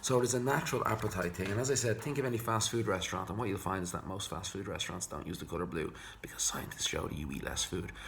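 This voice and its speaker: Over noticeable background noise and audible room echo, a man with an Irish accent speaks very fast in a fairly low pitch with lively intonation. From Ireland. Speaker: psychologist. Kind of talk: tutorial.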